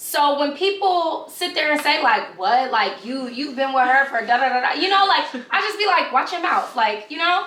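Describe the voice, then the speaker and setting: A woman in a New York accent projects her high voice with lively intonation, amid noticeable background noise and audible room echo. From New York, Brooklyn. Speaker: YouTuber. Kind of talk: casual chat. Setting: filming a video.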